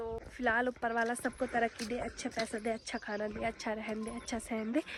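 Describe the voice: A woman speaks at a fairly quick pace in a fairly high pitch, her intonation flat and monotone.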